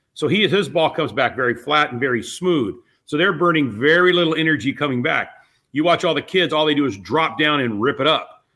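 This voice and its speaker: A man speaks in a plain, everyday voice, fairly high in pitch with ordinary pitch variation, moving at a fairly quick pace. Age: 60s. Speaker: bowling coach. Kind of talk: casual interview.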